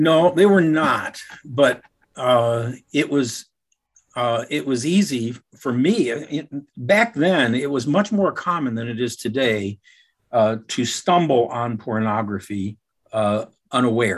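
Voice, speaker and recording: A man at medium pitch with lively intonation and a very slow pace. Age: 70s. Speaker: founder and CEO of a software company. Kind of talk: interview, personal story.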